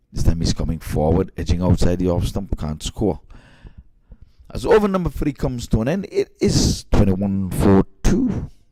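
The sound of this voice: Speaking at a moderate pace, a man uses a low pitch with big swings, his tone dark and mellow.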